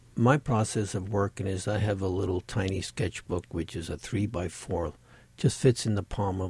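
In a very clean recording with a silent background, a man with a very deep, low pitch and ordinary pitch variation speaks at a moderate pace, somewhat breathy. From Sicily, Italy. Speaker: painter. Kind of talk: casual interview.

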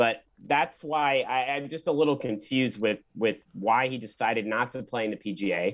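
In an ordinary speaking voice, a man at medium pitch talks at a moderate pace with ordinary pitch variation and hardly any pauses. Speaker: student golf podcast panelist. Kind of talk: casual chat. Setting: remote call.

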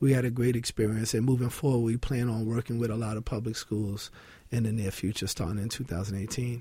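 A man with a New York accent talks very fast at a medium pitch, his intonation fairly even. His voice is dark, mellow and somewhat breathy. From New York City (Williamsburg, Brooklyn). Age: 40s. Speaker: nonprofit founder and fitness entrepreneur. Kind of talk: radio interview.

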